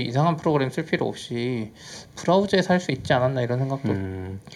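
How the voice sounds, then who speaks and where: Very wide pitch swings at a fairly quick pace. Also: man. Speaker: tech podcast co-host. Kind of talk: casual chat. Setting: studio. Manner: loud.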